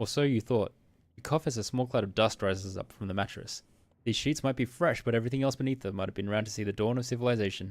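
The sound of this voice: Pitch varies in an ordinary way in this unforced reading voice.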